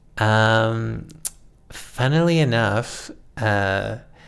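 A man with a western Canadian accent speaks at a fairly low pitch. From Calgary, Alberta, Canada. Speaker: community historian and author. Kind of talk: casual interview.

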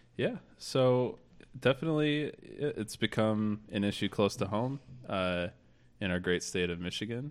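In a very clean recording with a silent background, a man with an American accent speaks at a fairly slow pace with lively intonation in a normal speaking voice. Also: fairly low pitch for a man. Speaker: podcast host. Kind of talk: casual political chat podcast.

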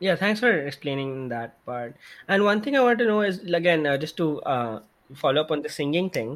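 A man's fairly high voice with very wide swings in pitch. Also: moderate pace. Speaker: podcast host. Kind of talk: interview.

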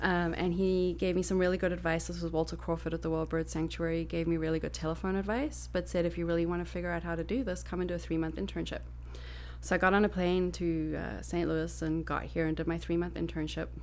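Speaking at a very fast pace, a woman talks with a Southern African accent. Audible room echo surrounds her voice. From Botswana and South Africa. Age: 40s. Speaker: environmental educator and Reiki practitioner. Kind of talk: casual chat.

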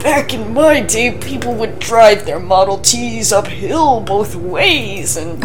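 Amid loud background noise, someone performs a put-on character voice at a fairly slow pace. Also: woman. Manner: mock teasing.

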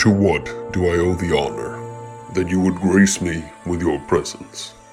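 Over clear music in the background, a man growls in a put-on character voice, gravelly and very deep in pitch. He keeps a moderate pace. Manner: formal, grandiloquent.

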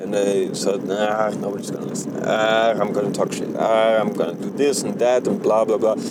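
A man talks fairly quickly with hardly any pauses in a monotone, flat intonation, with audible room echo and noticeable background noise. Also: fairly low pitch for a man. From Germany. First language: German. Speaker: podcaster. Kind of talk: casual monologue. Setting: in a car while driving. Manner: rambling, halting with fillers.

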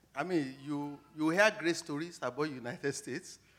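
This man has a bright, sharp tone and a fairly high pitch. He talks at a moderate pace. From Nigeria. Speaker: academic researcher. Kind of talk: testimony interview. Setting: church stage.

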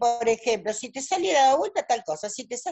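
A woman speaks with very wide swings in pitch. Her voice sits fairly high. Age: 60s. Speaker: tarot reader. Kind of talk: casual interview. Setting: video call. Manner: halting.

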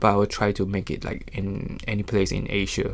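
This man speaks at a moderate pace. His pitch is fairly low. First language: not English. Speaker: body piercer. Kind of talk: interview. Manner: halting.

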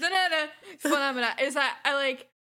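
Raised and projected, a woman's high-pitched voice has a bright, sharp tone and lively intonation at a moderate pace. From France. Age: 20s. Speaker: podcast guest. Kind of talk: casual chat.

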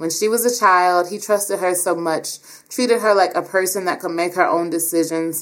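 An unforced reading voice carries this clip.

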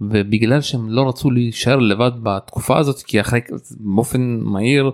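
Speaking with a normal speaking voice, a man talks at a medium pitch. His pace is moderate and his intonation fairly even. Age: 30s. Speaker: podcast host. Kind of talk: casual chat.

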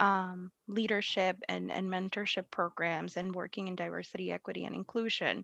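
With a Spanish accent, a woman speaks in a bright, sharp tone over a quiet background. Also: dry, close sound with no echo. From Puerto Rico. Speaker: leadership coach and business owner. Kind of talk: interview. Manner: laughs often.

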